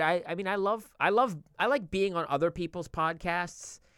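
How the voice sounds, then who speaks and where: A man speaks in a raised, projected voice with a bright, sharp tone. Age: 40s. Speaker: podcast host. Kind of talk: casual chat.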